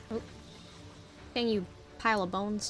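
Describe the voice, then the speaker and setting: Music plays in the background as a woman speaks at a fairly slow pace. Her pitch is medium. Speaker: gamer. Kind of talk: casual gameplay commentary. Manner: casual, chatty.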